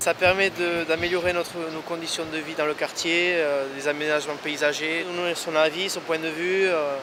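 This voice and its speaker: A man's high-pitched, monotone, flat delivery at a moderate pace, with noticeable background noise. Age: 20s. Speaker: neighbourhood council member. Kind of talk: interview.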